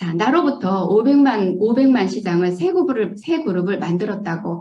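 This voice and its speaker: A woman's lively intonation at a moderate pace, with audible room echo. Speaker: network marketing distributor. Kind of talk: motivational business presentation. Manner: hesitant.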